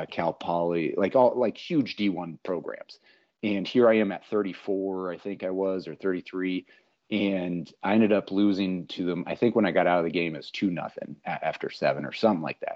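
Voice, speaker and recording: His very deep, low voice carries an American accent, moving at a moderate pace with ordinary pitch variation. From Minnesota. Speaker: political candidate and amateur baseball pitcher. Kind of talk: casual chat.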